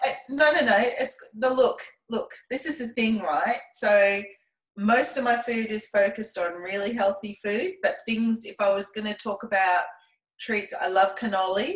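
A somewhat breathy woman's voice, fairly high in pitch, with ordinary pitch variation and a fairly slow pace. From Scotland. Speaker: personal trainer. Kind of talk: casual interview chat.

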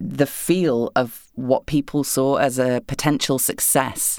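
In an English accent, a woman speaks at a very deep, low pitch with ordinary pitch variation. The recording is very clean, with a silent background. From England. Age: 30s. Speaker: video game voice actor. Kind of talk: casual chat.

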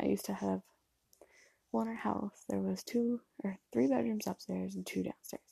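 A soft-spoken woman talks at a moderate pace in a dry, close sound with no echo. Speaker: podcast host. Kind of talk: casual chat. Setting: empty childhood bedroom at her mom's house. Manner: soft-spoken, talking quietly.

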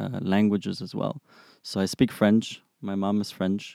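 In a very clean recording with a silent background, a man speaks with a fairly low pitch, a dark, mellow tone and flat, monotone intonation. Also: dry, close sound with no echo. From Germany, Frankfurt. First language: German. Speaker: product manager. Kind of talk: interview. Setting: studio. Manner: halting, many fillers.

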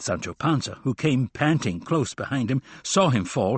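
The voice is natural as the text is read aloud. Its pitch shifts in an ordinary way.

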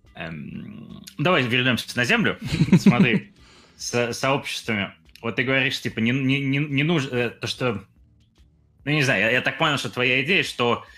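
With music in the background, a man speaks at a medium pitch and a fairly slow pace. His intonation is lively, broken by long, frequent pauses. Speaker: podcast co-host, YouTuber. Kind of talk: casual chat.

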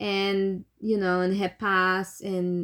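A woman with a non-native accent speaks at medium pitch in a flat monotone. The recording is very clean, with a silent background and a dry, close sound with no echo. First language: not English. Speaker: horror movie podcast host. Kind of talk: casual chat.

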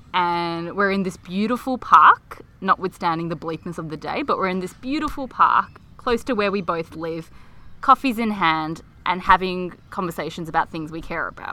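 A woman with an Australian accent, lively intonation and big swings in loudness. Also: medium pitch for a woman, moderate pace. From Melbourne, Australia. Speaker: podcast co-host. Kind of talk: casual chat. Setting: outdoors in a park.

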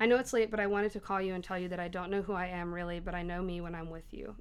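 Audible room echo surrounds a woman talking at a very fast pace. Her intonation is flat and monotone. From Tennessee, Knoxville. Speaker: poet at open mic. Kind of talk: poetry reading at open mic. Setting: bookstore open mic with audience.

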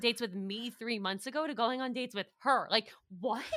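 Animated and bright, a woman talks at a fairly high pitch in a sharp tone with ordinary pitch variation. The recording is very clean, with a silent background. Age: 20s. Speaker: podcast co-host and producer. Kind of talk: casual chat.

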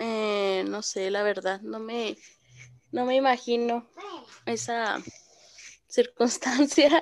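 At a very slow pace, a woman speaks in a fairly high voice. Her speech has long, frequent pauses. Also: ordinary pitch variation. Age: 20s. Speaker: young mother and caregiver. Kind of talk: casual chat.

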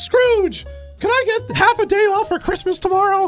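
An extremely high-pitched put-on character voice carries the clip. Clear music plays in the background. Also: moderate pace. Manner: cartoonish.

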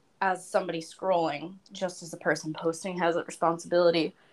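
In an ordinary speaking voice, a woman talks at a fairly quick pace with a fairly low pitch. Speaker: opera and pop singer, beauty pageant titleholder. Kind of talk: casual chat.

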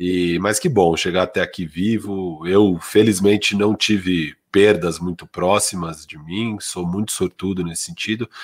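Speaking fairly slowly with hardly any pauses, a man uses a very deep, low pitch, fairly even intonation and big swings in loudness. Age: 30s. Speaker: basketball podcast co-host. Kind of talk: casual sports talk.

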